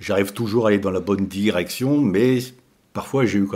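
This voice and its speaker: A man speaks at a fairly quick pace with a fairly low pitch. His tone is dark and mellow, with ordinary pitch variation. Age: 60s. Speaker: long-distance cyclist. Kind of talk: interview. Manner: hesitant, many fillers.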